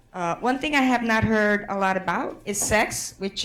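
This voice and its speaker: The speaker talks at a fairly slow pace with ordinary pitch variation. Room echo is audible. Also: woman. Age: 60s. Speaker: conference facilitator and activist. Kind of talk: conference address to audience. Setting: conference room with audience.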